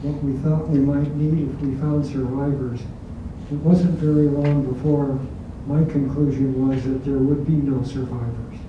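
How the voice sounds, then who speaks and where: Amid noticeable background noise and audible room echo, a man with an American accent speaks in a fairly high pitch with monotone, flat intonation. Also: fairly slow pace. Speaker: war veteran. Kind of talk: testimony. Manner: soft-spoken.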